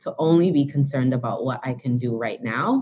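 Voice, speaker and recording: Very deep, low female voice, intonation fairly even. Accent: New York. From Brooklyn, New York. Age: 30s. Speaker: author and blogger. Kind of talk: interview.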